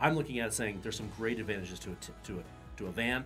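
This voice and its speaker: Over clear music in the background, a man speaks very fast at a fairly low pitch. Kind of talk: casual conversation. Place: studio.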